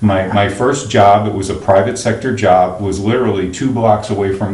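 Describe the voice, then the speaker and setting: With a General American accent, a man speaks at a moderate pace, fairly low in pitch with fairly even intonation, amid noticeable background noise and audible room echo. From Pennsylvania. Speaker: county finance official. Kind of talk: interview.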